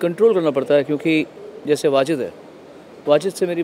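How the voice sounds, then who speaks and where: There is light background noise behind a man's voice. He speaks at a moderate pace with ordinary pitch variation. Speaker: awards show host. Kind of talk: interview answer. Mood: somber, reflective. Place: hall. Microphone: handheld.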